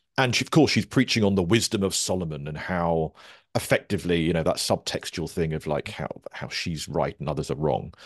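A man talks at a fairly quick pace in a very deep, low pitch. His pitch varies in an ordinary way against a quiet background. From Surrey, southern England (Guildford). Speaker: comedy writer and broadcaster. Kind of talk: casual interview.

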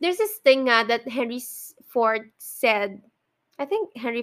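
A woman with a Filipino accent speaks in a high pitch at a fairly slow pace. Her intonation is lively, and the recording is very clean with a silent background. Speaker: podcast host. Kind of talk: casual monologue. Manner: halting, frequent fillers and sighs.

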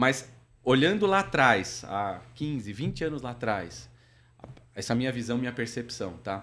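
A man speaks at a fairly slow pace with medium pitch, lively intonation and vocal fry. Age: 40s. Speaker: logistics operations director. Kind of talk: interview. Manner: hesitant, many filler words.

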